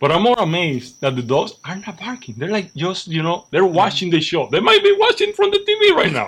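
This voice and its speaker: A man with a Spanish accent talks in an animated tone at a fairly quick pace with hardly any pauses. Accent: Spanish-speaking accent in English. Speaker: guest, cigar expert. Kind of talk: casual chat.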